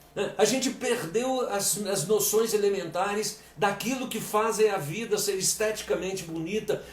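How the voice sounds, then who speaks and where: A man's fairly slow speech amid noticeable background noise and audible room echo. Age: 60s. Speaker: lecturer and coach. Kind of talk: live-stream lecture. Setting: live stream. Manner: halting, repeats words.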